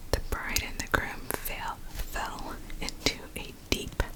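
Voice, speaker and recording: A woman's whisper, gentle in tone and very slow, over noticeable background noise. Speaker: ASMR creator. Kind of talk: whispered bedtime story for sleep. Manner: whispering, soft, gentle.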